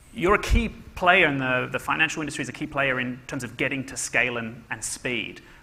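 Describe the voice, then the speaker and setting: Talking at a fairly quick pace with an Australian accent, a man shows big swings in loudness while background noise is noticeable. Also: medium pitch for a man, ordinary pitch variation. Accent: Australian-sounding. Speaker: panel moderator. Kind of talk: panel discussion.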